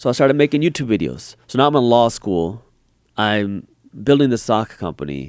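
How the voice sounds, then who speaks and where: A man speaks with very wide pitch swings. The recording is very clean, with a silent background. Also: medium pitch for a man, moderate pace. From US, Punjabi Indian immigrant family. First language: Punjabi. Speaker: finance YouTuber and entrepreneur. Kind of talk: podcast interview.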